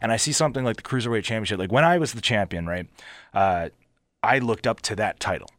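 Speaking at a very fast pace, a man talks with a Philadelphia accent. His pitch sits at medium, and his intonation is lively. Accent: Philadelphia American. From Philadelphia area, US. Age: 30s. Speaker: pro wrestler. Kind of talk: casual interview.

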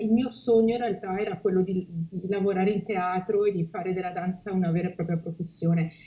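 Noticeable background noise runs behind a woman speaking with ordinary pitch variation. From Liguria, Italy (Genoa area). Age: 40s. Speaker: humanitarian spokesperson. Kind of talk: interview.

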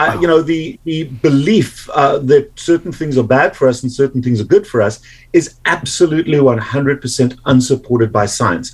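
Speaking at a moderate pace in a South African accent, this voice has hardly any pauses. The intonation is lively. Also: man, fairly high pitch for a man. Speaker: medical doctor. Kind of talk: interview.

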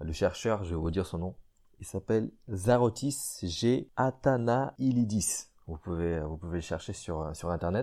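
In a very clean recording with a silent background, a man with a very deep, low voice and a dark, mellow tone speaks fairly slowly with lively intonation. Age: 20s. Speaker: podcast host, amateur fitness enthusiast. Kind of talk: casual solo podcast talk. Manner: halting, many repetitions and fillers.

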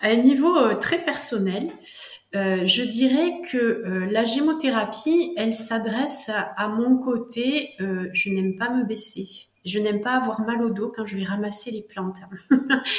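With noticeable background noise and audible room echo, a woman speaks in a southwestern French accent at a very slow pace, using a fairly high pitch and lively intonation. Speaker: herbalist and author. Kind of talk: interview.

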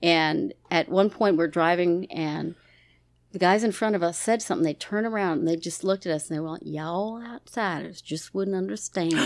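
With an American accent and a plain, everyday voice, a woman speaks at a fairly quick pace, her pitch fairly low with ordinary variation, in a very clean recording with a silent background. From Maryland. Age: 50s. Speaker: guest. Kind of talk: casual chat.

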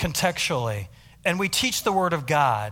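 A man with an American accent speaks at a fairly slow pace in a bright, sharp, fairly high voice, in a very clean recording with a silent background. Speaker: missionary pastor. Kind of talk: sermon. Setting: church.

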